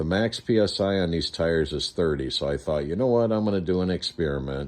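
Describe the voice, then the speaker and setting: A man speaks very fast in a very deep, low voice. His intonation is lively. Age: 60s. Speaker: e-bike reviewer. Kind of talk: casual product review. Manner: casual, hesitant with fillers.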